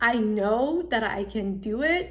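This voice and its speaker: A woman speaks in a Persian accent. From Iran, immigrated at 13. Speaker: content creator. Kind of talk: personal vlog, confessional talk to camera. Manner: casual, filler-heavy (like, um).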